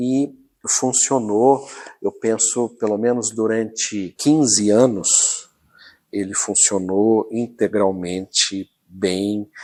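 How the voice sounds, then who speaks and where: In a very clean recording with a silent background, a man with a fairly low, dark, mellow voice talks very slowly with fairly even intonation. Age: 60s. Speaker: local historian. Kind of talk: documentary interview.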